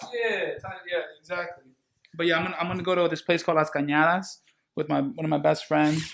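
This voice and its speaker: A man with a Spanish accent and a high pitch talks very fast with fairly even intonation, broken by long, frequent pauses. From San Diego, California (San Ysidro, near the border). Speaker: barber and DJ. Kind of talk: casual chat. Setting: barber shop.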